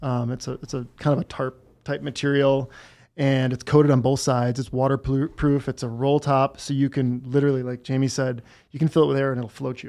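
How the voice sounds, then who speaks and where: The recording is very clean, with a silent background. A man with an American accent talks fairly quickly at a medium pitch in a monotone, flat intonation. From Wisconsin, US Midwest. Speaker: entrepreneur, survival gear company founder. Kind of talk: casual chat.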